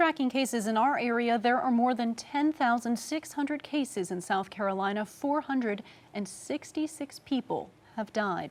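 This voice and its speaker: A woman's normal speaking voice, fairly high in pitch, at a moderate pace with lively intonation. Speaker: television news anchor. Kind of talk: TV news anchor delivery.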